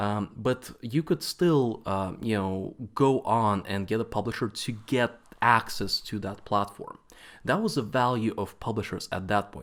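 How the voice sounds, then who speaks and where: A fairly slow voice with a Latvian accent and ordinary pitch variation, on a very clean recording with a silent background. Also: man, medium pitch for a man. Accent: Eastern European (Latvian). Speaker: games company CEO. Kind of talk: conference talk. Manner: halting, many fillers.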